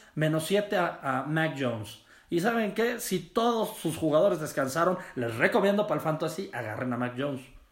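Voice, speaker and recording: A man talks at a moderate pace in a fairly high pitch, with an animated tone, very wide pitch swings and hardly any pauses. Audible room echo surrounds his voice. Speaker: sports podcast host. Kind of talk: casual solo sports talk. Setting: his mother's office.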